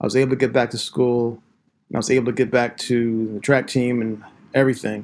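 Someone with an American accent speaks at a very fast pace in a monotone, flat intonation. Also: man, medium pitch for a man. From southeastern Pennsylvania, Philadelphia suburbs. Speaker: high school English teacher and author. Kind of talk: interview conversation.

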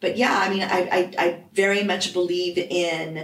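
Fairly slow speech from a woman with an American accent and fairly low pitch, with audible room echo and noticeable background noise. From US Northeast (Vermont). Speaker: life coach. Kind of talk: interview.

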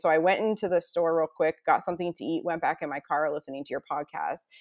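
In an ordinary speaking voice, a woman talks at a fairly quick pace with a fairly low pitch. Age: 40s. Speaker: stay-at-home mom sharing weight loss story. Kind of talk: interview, personal testimony.

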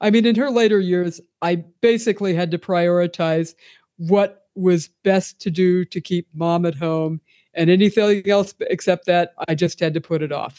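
In a plain, everyday voice with an American accent, a woman speaks at a moderate pace and a fairly low pitch. Her intonation is fairly even, and the sound is dry and close with no echo over a quiet background. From Pennsylvania. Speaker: author and photographer. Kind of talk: interview.

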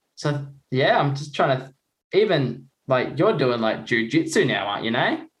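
With an Australian accent, a man talks at a moderate pace in a somewhat breathy voice, and audible echo fills the room. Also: fairly high pitch for a man, lively intonation. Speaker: Paralympic swimmer, guest presenter. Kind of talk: casual chat.

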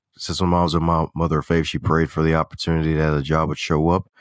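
Recorded very cleanly against a silent background, a man with an American accent speaks at a very deep, low pitch. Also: dry, close sound with no echo. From Baltimore, US. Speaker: author, coach, speaker and podcaster. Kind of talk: casual interview conversation. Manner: animated, humorous.

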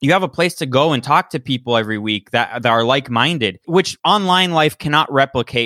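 Using an unremarkable speaking voice, a man talks at a fairly quick pace with hardly any pauses, fairly high pitch, and lively intonation. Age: 30s. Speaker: podcast host, guest. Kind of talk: casual interview.

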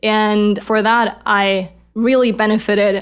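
Monotone, flat intonation from a woman at medium pitch with a German accent, in a very clean recording with a silent background. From Germany. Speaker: startup founder and CEO. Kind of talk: interview.

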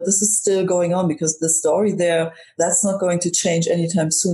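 A woman talks at a moderate pace with a fairly low pitch. Noticeable background noise sits behind her. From Germany. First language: German. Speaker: comedian. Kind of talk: casual chat.

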